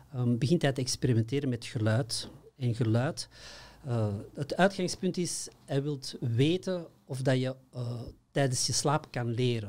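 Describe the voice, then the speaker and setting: A man with a slight Flemish accent speaks at a fairly slow pace in a somewhat breathy voice. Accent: slight Flemish (Antwerp). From Belgium, Antwerp; Belgium. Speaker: consciousness workshop trainer. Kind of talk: interview. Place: studio. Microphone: studio mic.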